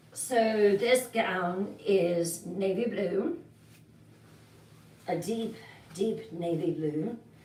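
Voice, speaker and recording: A woman speaks at a very slow pace, with long, frequent pauses. Her voice sits at a medium pitch with ordinary pitch variation, and the room echo is audible. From Wales. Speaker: livestream horror story host. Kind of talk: casual live chat reading viewer comments. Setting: live stream with virtual background. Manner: chatty, with filler hesitations.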